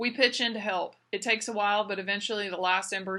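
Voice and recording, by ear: The intonation holds fairly even. This is reading aloud in a natural voice.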